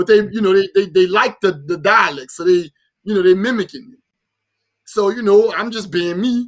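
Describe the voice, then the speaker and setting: A man with a New Orleans accent, high-pitched with ordinary pitch variation, at a fairly quick pace, on a very clean recording with a silent background. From New Orleans, Louisiana. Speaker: podcast co-host. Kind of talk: casual chat. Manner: animated.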